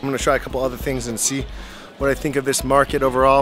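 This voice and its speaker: Clear music plays behind a man's voice. The sound is dry, with no echo. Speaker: food travel vlogger. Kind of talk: casual vlog chat. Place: market. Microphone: phone near.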